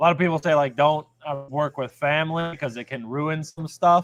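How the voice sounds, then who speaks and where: Recorded dry and close with no echo, a man with an unremarkable speaking voice and fairly high pitch talks at a moderate pace. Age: 30s. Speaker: car shop owner. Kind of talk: casual chat.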